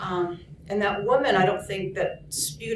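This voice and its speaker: Soft-spoken, a woman talks at a moderate pace with ordinary pitch variation. Audible room echo and noticeable background noise fill the recording. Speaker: nurse and union activist. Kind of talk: storytelling. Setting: conference story circle with audience. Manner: halting.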